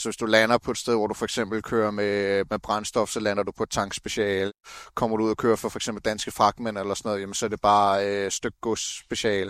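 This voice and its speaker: Dry, close sound with no echo frames a man speaking in a monotone, flat intonation. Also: fairly low pitch for a man, fairly quick pace, quiet background. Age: 30s. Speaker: truck driver apprentice. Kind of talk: interview. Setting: outdoors.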